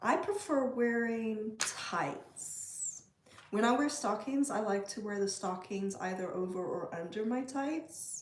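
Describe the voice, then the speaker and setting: Lively intonation at a very slow pace, set against noticeable background noise. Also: woman, fairly high pitch for a woman. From South Africa. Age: 40s. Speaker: livestreamer. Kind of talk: casual chat. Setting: livestream.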